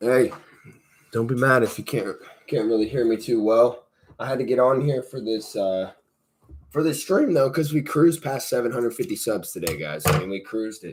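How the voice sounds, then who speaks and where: With an American accent, a man of medium pitch speaks at a moderate pace, showing lively intonation and vocal fry. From Indiana. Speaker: Lego channel host, live streamer. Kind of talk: live stream building commentary. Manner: casual, chatty.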